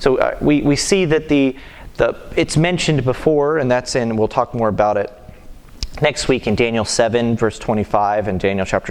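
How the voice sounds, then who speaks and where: Over noticeable background noise, a man talks at a fairly quick pace in a medium pitch with ordinary pitch variation. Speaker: Sunday school teacher. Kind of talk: Bible class teaching. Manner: fast; halting.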